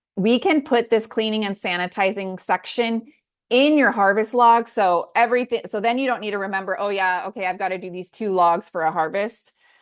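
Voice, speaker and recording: A woman's normal speaking voice at medium pitch and moderate pace, with ordinary pitch variation, against a quiet background. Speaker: farm food-safety instructor. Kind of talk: online class tutorial.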